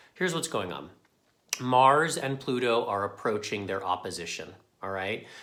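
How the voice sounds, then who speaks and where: A man talks at a medium pitch, his voice carrying audible room echo. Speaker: tarot and astrology forecaster. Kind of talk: weekly astrology forecast monologue. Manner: fast; casual, conversational.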